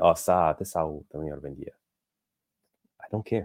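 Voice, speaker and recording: This man speaks with an Egyptian accent. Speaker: course instructor. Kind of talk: online class discussion with English terms mixed in. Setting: video call. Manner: lowers his voice.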